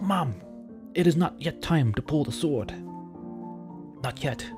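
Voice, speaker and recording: Clear music plays in the background as a man does a put-on character voice at a very slow pace. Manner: ghostly.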